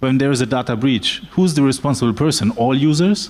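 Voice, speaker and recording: A man's fairly high voice with lively intonation and a German accent. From Germany. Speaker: lawyer. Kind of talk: panel discussion. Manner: halting, many fillers.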